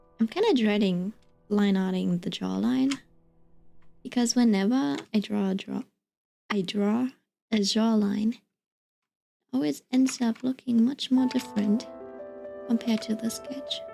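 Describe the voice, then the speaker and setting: A woman with a non-native accent speaks at a fairly slow pace and fairly high pitch, somewhat breathy with a dark, mellow tone, lively intonation and long, frequent pauses. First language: not English. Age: 20s. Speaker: art streamer. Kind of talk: casual chat.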